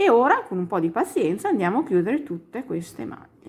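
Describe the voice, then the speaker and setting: Her pitch is medium, and it swings very widely. The woman keeps a moderate pace. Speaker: crochet teacher. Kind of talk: tutorial.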